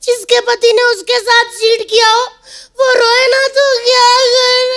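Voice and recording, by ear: A woman uses a put-on character voice at an extremely high pitch, speaking at a moderate pace with very even loudness and monotone, flat intonation.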